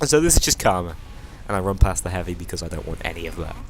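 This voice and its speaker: A man's very deep, low voice with fairly even intonation, music in the background. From northwest England, near Liverpool. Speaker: gaming YouTuber. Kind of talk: gameplay commentary. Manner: casual, hesitant with fillers.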